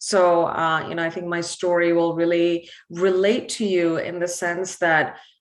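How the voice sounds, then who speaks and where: A woman with an American accent speaks at a fairly low pitch and a fairly slow pace. Audible room echo is present. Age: 20s. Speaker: entrepreneur and motivational speaker. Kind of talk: conference talk. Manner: casual, many fillers.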